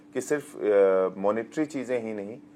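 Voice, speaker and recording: A man speaks with ordinary pitch variation. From rural Bihar. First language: Magahi/Bajjika/Angika mix (speaking Hindi). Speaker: actor. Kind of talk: interview. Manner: halting.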